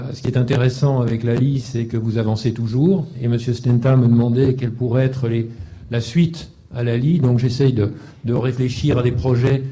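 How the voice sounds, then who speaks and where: A man's dark, mellow, somewhat breathy voice, medium in pitch with fairly even intonation, carries audible room echo. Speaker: panelist at a defence round table. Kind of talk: round-table discussion. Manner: fast.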